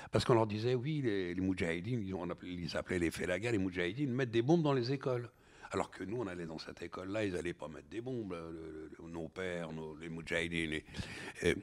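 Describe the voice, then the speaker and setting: A man's very deep, low voice at a very fast pace, with lively intonation. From Algeria, then France from age ten. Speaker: novelist and filmmaker. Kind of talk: interview conversation. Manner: halting, many hesitations and repetitions.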